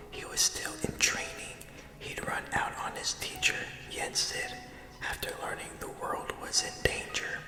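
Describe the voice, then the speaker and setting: Someone is whispering at a fairly slow pace. Music plays in the background. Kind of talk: whispered ASMR reading of a video game story. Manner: whispered.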